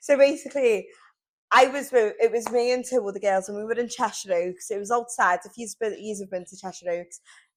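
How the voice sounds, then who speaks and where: A woman with a Liverpool accent speaks at a fairly quick pace and a fairly high pitch. Her pitch varies in an ordinary way, while her loudness swings widely. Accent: Scouse (Liverpool). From Liverpool, England. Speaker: podcast co-host, salesperson. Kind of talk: casual chat. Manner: animated.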